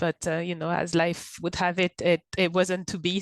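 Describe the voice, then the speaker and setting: A woman with a French accent at a moderate pace, with fairly even intonation. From France, Paris. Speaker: content marketing director. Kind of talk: podcast interview. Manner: hesitant, many fillers.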